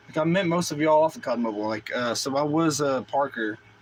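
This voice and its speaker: A man with an American accent, fairly high pitch and lively intonation, over noticeable background noise. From US South. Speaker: gaming streamer. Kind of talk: casual chat. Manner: loud; fast.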